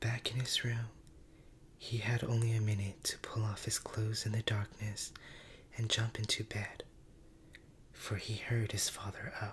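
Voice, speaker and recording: A soft-spoken man whispers at a fairly slow pace. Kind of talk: story reading, ASMR bedtime narration. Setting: studio. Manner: whispered, soft-spoken.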